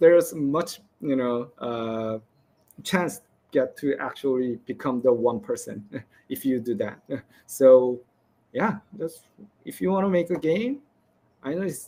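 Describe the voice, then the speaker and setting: Fairly high in pitch, a man with a non-native accent and a dark, mellow tone speaks with lively intonation. His pace is fairly slow, with long, frequent pauses. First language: not English. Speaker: game developer. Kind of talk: presentation Q&A. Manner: halting.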